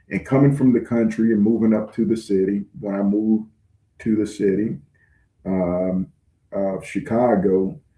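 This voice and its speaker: The speaker is a man with a Southern US accent. He has a fairly low pitch and ordinary pitch variation. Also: moderate pace. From US South, rural. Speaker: online channel host, self-described targeted individual. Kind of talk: livestream address. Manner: halting, frequent fillers.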